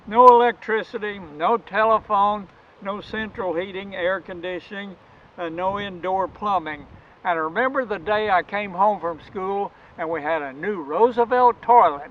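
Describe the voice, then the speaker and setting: A man talks at a moderate pace in a high voice with ordinary pitch variation. His loudness swings widely from moment to moment. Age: 80s+. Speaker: retired Baptist preacher. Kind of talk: personal storytelling.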